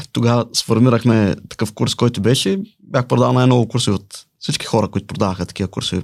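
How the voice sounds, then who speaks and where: Speaking at a fairly quick pace, a man uses a medium pitch with ordinary variation. Vocal fry runs through his voice. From Bulgaria, Balchik. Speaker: salesman. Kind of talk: interview.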